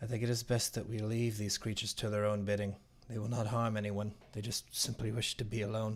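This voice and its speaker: Using a shaky, put-on character voice, a man speaks fairly quickly at a medium pitch with monotone, flat intonation. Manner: frail, trembling.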